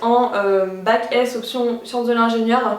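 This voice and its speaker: A woman speaks at a high pitch with audible room echo. Background noise is noticeable. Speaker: youtuber, student. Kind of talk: vlog, casual talk to camera. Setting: apartment, window closed. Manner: fast; animated.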